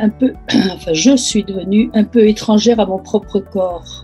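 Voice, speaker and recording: A woman's fairly high voice at a fairly slow pace, fairly even in intonation, with music in the background. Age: 80s+. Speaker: breast cancer patient. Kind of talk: interview answer. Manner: hesitant.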